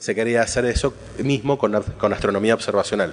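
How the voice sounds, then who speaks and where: Against noticeable background noise, a man talks at a fairly quick pace and a medium pitch. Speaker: astronomer giving a conference talk. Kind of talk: conference talk. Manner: halting, many fillers and restarts.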